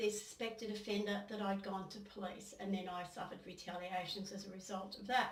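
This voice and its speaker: A woman speaks at a moderate pace with an Australian accent and a medium pitch. Room echo is audible. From Australia, New South Wales. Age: 60s. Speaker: former local councillor, abuse survivor. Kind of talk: testimony. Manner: halting.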